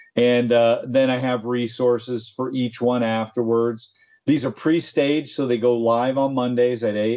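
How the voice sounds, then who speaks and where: This voice has a dark, mellow tone and moves at a moderate pace with monotone, flat intonation. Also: man, quiet background. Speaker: tech company presenter and podcast co-host. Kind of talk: casual chat. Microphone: video call.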